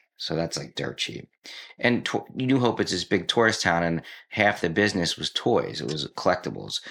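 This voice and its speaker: This is a man with an American accent and an unremarkable speaking voice, pitched fairly low. He keeps a moderate pace on a very clean recording with a silent background. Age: 50s. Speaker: art dealer and drummer. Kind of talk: casual chat.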